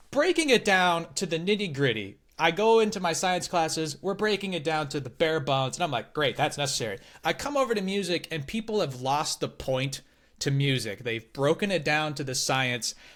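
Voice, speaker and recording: A man speaks fairly quickly in a fairly high pitch, his tone animated and his intonation lively. The recording is very clean, with a silent background. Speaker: podcast creator interviewed about his education. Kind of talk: casual interview chat. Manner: loud.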